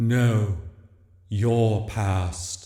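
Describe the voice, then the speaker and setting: In a put-on character voice, a soft-spoken man talks with a clear echo around him. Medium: read story. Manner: gentle, grave.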